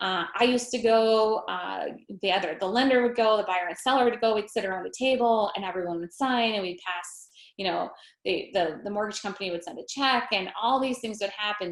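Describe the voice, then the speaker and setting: The woman's pitch is fairly high, with ordinary pitch variation. She speaks at a fairly quick pace. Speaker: realtor. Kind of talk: online workshop presentation. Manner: fast.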